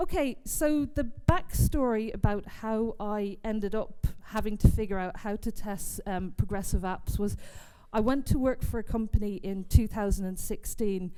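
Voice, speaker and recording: A woman with a fairly high pitch speaks at a moderate pace in a dark, mellow tone, with audible room echo around her. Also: ordinary pitch variation. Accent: English. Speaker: software testing speaker. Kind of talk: conference talk. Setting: stage with audience.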